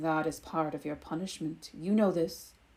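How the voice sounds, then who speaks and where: Doing a put-on character voice, a woman speaks in a rumbling, fairly low tone at a moderate pace. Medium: read story. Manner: serene, measured.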